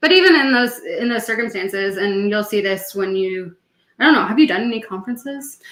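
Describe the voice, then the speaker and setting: A woman speaks in a Canadian accent, fairly quick and fairly high. Her tone is animated, with lively intonation. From Canada. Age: 20s. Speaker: podcast co-host, PhD student. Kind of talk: casual chat.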